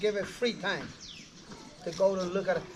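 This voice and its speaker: Noticeable background noise runs under a man speaking at a high pitch. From Panama, Darien region. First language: Embera. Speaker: tour guide. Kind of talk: guided tour talk. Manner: halting.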